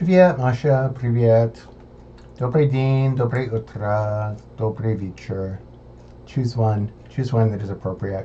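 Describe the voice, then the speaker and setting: Somewhat breathy and dark, mellow in tone, a man speaks at a very slow pace and a medium pitch with ordinary pitch variation. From United States. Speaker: language student. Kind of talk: homework recording, tutorial-style. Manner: halting with many fillers.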